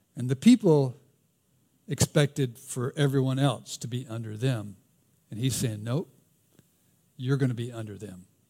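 Speaking at a fairly quick pace, a man with a Southern US accent has a dark, mellow tone. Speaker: pastor. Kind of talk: sermon. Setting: church.

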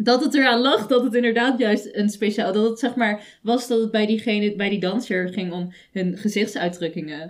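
In an unremarkable speaking voice, a woman with a fairly high pitch talks at a moderate pace with hardly any pauses and ordinary pitch variation. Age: young. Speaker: podcast co-host. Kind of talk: casual chat.

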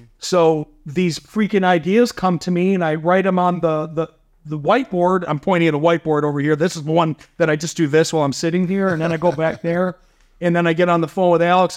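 A man talks in an animated tone at a fairly quick pace and a high pitch. The background is quiet. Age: 50s. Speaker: company CEO. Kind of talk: casual interview chat. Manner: high energy, animated.

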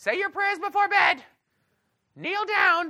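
A put-on character voice at an extremely high pitch comes through at a fairly slow pace. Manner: stern, instructing.

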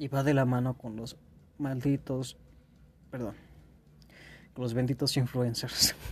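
A man's medium-pitched, somewhat breathy voice with a Mexican accent, fairly slow, monotone and flat, broken by long, frequent pauses. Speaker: podcast host. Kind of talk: casual monologue. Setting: home bedroom. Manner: stuttering.

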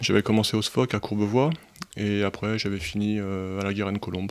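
Using an ordinary speaking voice, a man talks at a fairly quick pace. His pitch is fairly low. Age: 40s. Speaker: firefighter and amateur ultra cyclist. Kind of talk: casual chat. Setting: studio.

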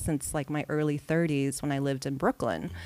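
On a very clean recording with a silent background, the speaker talks at a moderate pace with an American accent. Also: woman. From California. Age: 40s. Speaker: TV editor. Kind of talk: casual chat.

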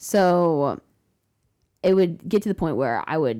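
A woman's fairly low, dark, mellow voice with vocal fry, on a very clean recording with a silent background. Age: young. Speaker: podcast guest on a gap year. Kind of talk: casual chat.

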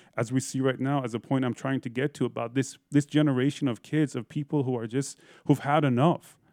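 In an American accent, a man with a medium pitch speaks at a fairly quick pace in a monotone, flat intonation, on a very clean recording with a silent background and a dry, close sound with no echo. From Iran, early childhood in Eugene, Oregon. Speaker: musician and podcaster. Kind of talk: interview.

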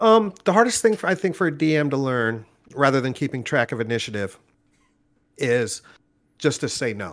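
A man's fairly high voice with a Californian accent, moderate in pace, with very wide pitch swings and long, frequent pauses. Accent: General American (Californian). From Southern California, Orange County. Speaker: game master and comedy show host. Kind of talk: casual interview chat.

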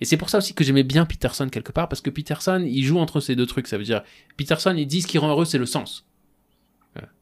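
A man rattles along at a very fast pace, his pitch fairly high and varying in an ordinary way. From France, Strasbourg (Alsace). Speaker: podcast host. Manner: hesitant, many fillers.

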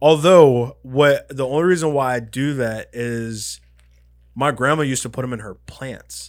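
A man speaks at a fairly slow pace with a medium pitch and ordinary pitch variation, in a plain, everyday voice. His loudness swings widely on a very clean recording with a silent background. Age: 30s. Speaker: podcast co-host. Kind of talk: casual chat.

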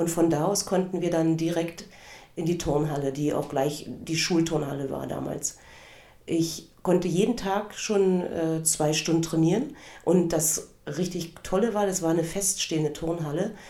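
In a room with audible echo, a woman with a fairly low pitch talks at a fairly slow pace with fairly even intonation. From eastern Germany, Cottbus. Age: 50s. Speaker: podcast host, former gymnast and karate instructor. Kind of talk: personal storytelling monologue.

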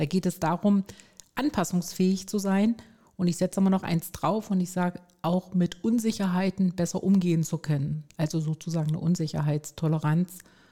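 A woman speaks with a fairly low pitch and a dark, mellow tone that is somewhat breathy. The sound is dry and close, with no echo. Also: fairly even intonation, moderate pace, very even loudness. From Stuttgart, Swabia, southwest Germany. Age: 50s. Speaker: resilience trainer and coach. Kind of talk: interview.

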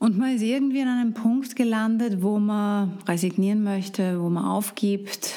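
With an Austrian accent, a woman speaks at a medium pitch and a moderate pace, with hardly any pauses. Her tone is dark and mellow, her intonation fairly even, and there is audible room echo. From Austria, Upper Austria. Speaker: health coach. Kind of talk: solo podcast talk.

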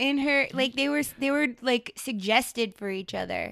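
A woman speaks in a high voice with an American accent. Her pace is moderate. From Texas (Dallas, born near San Antonio). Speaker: comedian and voice artist. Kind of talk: casual chat.

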